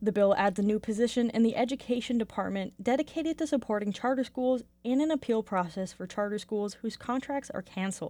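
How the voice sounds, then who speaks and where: On a very clean recording with a silent background, a woman talks at a fairly quick pace. Her fairly high voice has a dark, mellow tone and ordinary pitch variation. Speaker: radio newsreader. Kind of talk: news reading, scripted radio newscast. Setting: radio studio. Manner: formal, steady, clear and even-paced delivery; neutral, professional tone with little emotion.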